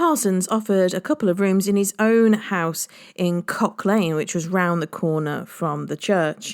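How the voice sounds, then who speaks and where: Speaking in an unremarkable speaking voice, a woman talks at a moderate pace and fairly low pitch with ordinary pitch variation. The recording is very clean, with a silent background. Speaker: tour guide. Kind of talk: history podcast narration.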